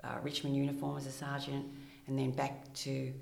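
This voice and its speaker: In a room with audible echo, a woman with an Australian accent talks fairly slowly in a very deep, low voice, her intonation flat and monotone. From rural Victoria, Australia. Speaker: retired police detective, clinical psychologist. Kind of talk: interview.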